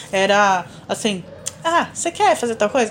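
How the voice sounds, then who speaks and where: A woman keeps a moderate pace, her pitch swinging very widely, while noticeable noise runs behind her. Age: 40s. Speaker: podcast co-host and artist. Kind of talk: casual chat.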